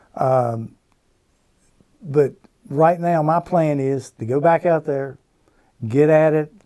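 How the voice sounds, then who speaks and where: With a Virginia accent, a man speaks at a very slow pace in a fairly high, dark, mellow voice with fairly even intonation and long, frequent pauses. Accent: Virginia Southern US. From Roanoke, Virginia, US. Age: 60s. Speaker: veteran pro bass angler. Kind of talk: casual interview chat.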